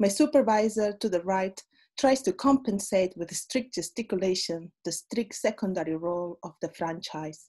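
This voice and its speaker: The tone is dark and mellow, with lively intonation. The pace is moderate over a quiet background. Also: woman. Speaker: poet. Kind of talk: poetry reading. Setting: video call. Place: home room. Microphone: webcam.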